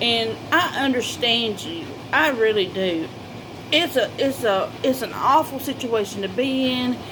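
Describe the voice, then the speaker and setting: A high-pitched woman's voice, fairly slow, with lively intonation and noticeable background noise. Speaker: vlogger. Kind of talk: personal talk to camera. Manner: halting, repetitive.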